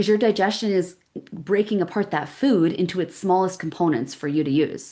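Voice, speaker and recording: A woman's dark, mellow voice in a Canadian accent at a moderate pace. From Canada, Calgary. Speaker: women's gut health practitioner. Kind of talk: live webinar presentation. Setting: livestream. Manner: animated, conversational.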